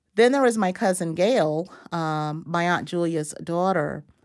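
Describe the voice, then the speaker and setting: A woman with an American accent speaks at a fairly slow pace in an ordinary speaking voice, on a very clean recording with a silent background. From Florida, US South (Madison County). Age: 50s. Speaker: history professor. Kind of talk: interview. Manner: many fillers (uh, um) and repetitions.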